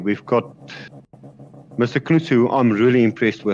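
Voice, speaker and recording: Intonation rises and falls in a lively way. The speed stays moderate. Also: man. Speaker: sim racing commentator. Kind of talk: live commentary. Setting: home sim rig with VR headset. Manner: loud.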